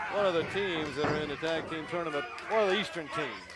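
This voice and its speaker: With noticeable background noise around him, a man speaks fairly quickly at a fairly high pitch, his pitch varying in an ordinary way. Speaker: wrestling TV host. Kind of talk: play-by-play sports commentary.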